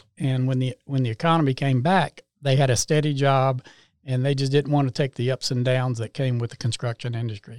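A man with a North Carolina accent, fairly even intonation and dry, close sound with no echo. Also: medium pitch for a man, fairly quick pace. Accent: US Southern, North Carolina. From North Carolina, Salisbury. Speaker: home builder. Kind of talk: interview.

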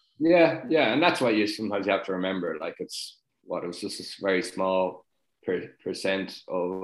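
A man with a Dublin accent, lively intonation and a moderate pace. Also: fairly low pitch for a man. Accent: Dublin Irish. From Dublin, north side (Sutton). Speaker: retired rugby player. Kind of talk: casual interview.

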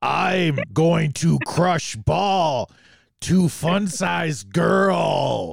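The voice is a put-on character voice from a man. He delivers it at a very slow pace. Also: fairly high pitch for a man. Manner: menacing, put-on.

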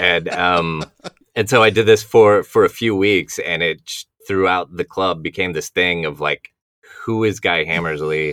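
Speaking with an American accent, a man uses a very deep, low pitch and a bright, sharp tone, with ordinary pitch variation at a fairly slow pace. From Dallas area, Texas.

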